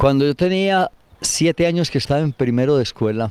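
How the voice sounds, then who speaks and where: In an Antioquian accent, a man speaks with lively intonation and a dark, mellow tone, the sound dry and close with no echo. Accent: Colombian paisa (Antioquia) Spanish. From Colombia, Antioquia (Granada). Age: 70s. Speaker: elderly local resident interviewed about town history. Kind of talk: interview, reminiscing.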